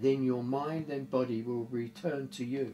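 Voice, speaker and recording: Light background noise sits under a man speaking at a very slow pace. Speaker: storyteller. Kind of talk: casual storytelling and reading a letter aloud. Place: home room. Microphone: camera far.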